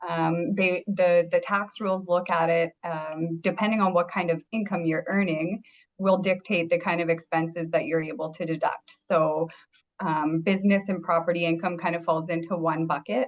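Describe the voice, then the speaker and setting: Speaking at a moderate pace in a Canadian accent, a woman has a fairly low pitch and fairly even intonation. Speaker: accountant. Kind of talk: webinar presentation.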